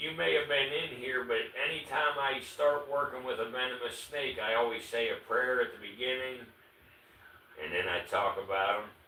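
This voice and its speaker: A man's voice with ordinary pitch variation, amid audible room echo and noticeable background noise. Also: medium pitch for a man, moderate pace. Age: 60s. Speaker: reptile keeper livestreamer. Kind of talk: casual livestream chat. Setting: livestream.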